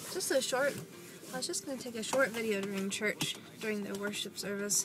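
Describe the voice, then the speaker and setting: Over noticeable background noise, a woman with an American accent talks fairly quickly at a fairly high pitch with ordinary pitch variation. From Texas. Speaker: vlogger. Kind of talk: casual vlog monologue. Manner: relaxed.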